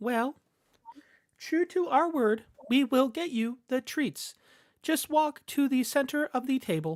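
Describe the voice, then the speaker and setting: In a put-on character voice, a female-sounding speaker with a high pitch goes at a fairly slow pace, leaving long, frequent pauses. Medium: actual play.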